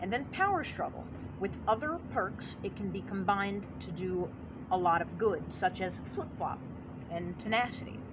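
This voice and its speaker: A woman talks at a moderate pace. There is audible room echo and noticeable background noise. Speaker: gaming YouTuber. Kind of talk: casual commentary video. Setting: outdoors by basement, natural light. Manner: stuttering, halting at times.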